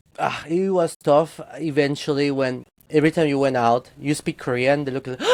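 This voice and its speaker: With a Spanish accent, a man speaks at a fairly high pitch and with fairly even intonation. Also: moderate pace. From Guatemala. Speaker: 3D character artist. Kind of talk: casual interview chat.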